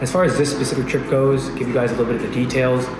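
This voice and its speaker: With clear music in the background, a man talks at a very fast pace. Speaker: travel vlogger. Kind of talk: casual vlog chat.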